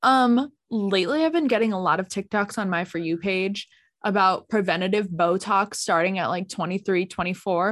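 A woman's medium-pitched voice at a moderate pace, with ordinary pitch variation and a quiet background. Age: 20s. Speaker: podcast co-host. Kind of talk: casual chat. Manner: animated.

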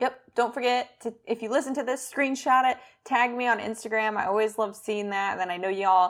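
A woman with a normal speaking voice and a fairly high pitch talks at a fairly quick pace with fairly even intonation. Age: 30s. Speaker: health podcast co-host, doctor. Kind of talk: casual chat.

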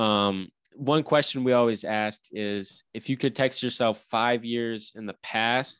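In an unremarkable speaking voice, a man talks at a fairly low pitch with ordinary pitch variation, recorded with a dry, close sound, no echo and a quiet background. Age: 20s. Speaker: podcast host. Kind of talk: casual chat.

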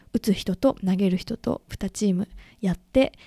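A woman's dark, mellow voice, with ordinary pitch variation, comes through with a dry, close sound and no echo. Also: very clean recording, silent background. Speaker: podcast host. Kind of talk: personal monologue. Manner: casual, many fillers.

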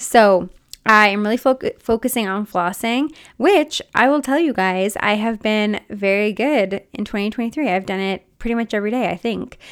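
A woman speaks in an unremarkable speaking voice at a fairly high pitch. Her pace is moderate and her pitch variation ordinary. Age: 30s. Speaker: podcast host and mindset coach. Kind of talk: casual solo monologue. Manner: chatty, frequent 'like' fillers.

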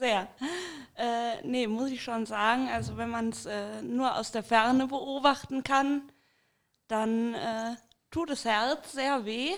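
A woman talks at a very slow pace with long, frequent pauses, in a very clean recording against a silent background. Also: fairly high pitch for a woman. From Rhineland, Bergisches Land. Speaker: guest. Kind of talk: casual chat.

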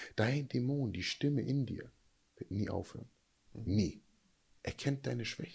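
Ordinary pitch variation, long and frequent pauses, and a somewhat breathy sound. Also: man, medium pitch for a man. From USA, moved to Germany at about 12. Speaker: life coach, former prisoner and football player. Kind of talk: casual chat.

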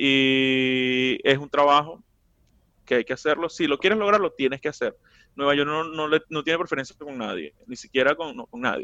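Showing big swings in loudness, a man with a Venezuelan accent and a fairly high pitch talks at a moderate pace. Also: ordinary pitch variation. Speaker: comedian. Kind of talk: casual chat.

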